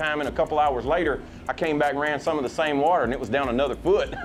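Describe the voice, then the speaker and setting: With music in the background, a man with a Louisiana accent talks very fast at a fairly high pitch. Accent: Louisiana Southern US. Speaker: professional bass angler. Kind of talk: casual interview.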